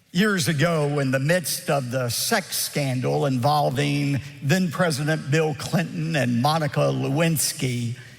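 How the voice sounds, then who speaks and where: The speaker, with an American accent, goes at a fairly slow pace with hardly any pauses, ordinary pitch variation and very even loudness, over noticeable background noise. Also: man, fairly high pitch for a man. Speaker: pastor, televangelist. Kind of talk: sermon.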